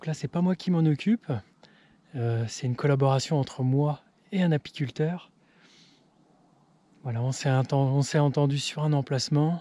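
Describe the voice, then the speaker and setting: Speaking in a dark, mellow tone with ordinary pitch variation, a man leaves long, frequent pauses. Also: fairly high pitch for a man, moderate pace. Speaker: farmer. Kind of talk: casual vlog narration. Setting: outdoors. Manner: speaking quietly.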